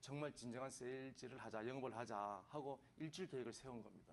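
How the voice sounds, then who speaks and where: A man speaks with a medium-pitched voice. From Gangwon Province, Korea (Samcheok, Yeongdong). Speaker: businessman, former salesman. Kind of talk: radio interview. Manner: halting, many fillers.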